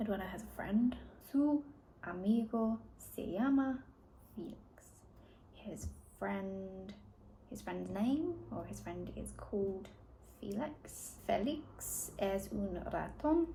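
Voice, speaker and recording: Over noticeable background noise and audible room echo, a woman speaks at a very slow pace. Her loudness swings widely, and she leaves long, frequent pauses. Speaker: language learner vlogger. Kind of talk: reading aloud and translating; casual vlog talk. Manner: halting.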